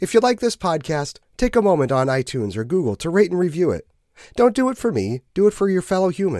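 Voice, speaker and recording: Talking very fast in an American accent, a man uses a high pitch with very wide pitch swings and a dark, mellow tone. The recording is very clean with a silent background and a dry, close sound with no echo. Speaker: church podcast host. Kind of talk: devotional introduction. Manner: humorous, casual.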